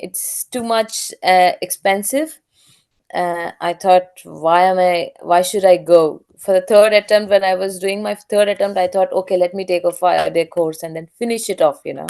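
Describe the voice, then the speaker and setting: Someone with a non-native accent speaks at a moderate pace. The intonation stays fairly even. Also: woman, medium pitch for a woman, big swings in loudness. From India. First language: not English. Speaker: aircraft maintenance engineer. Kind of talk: interview. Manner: halting.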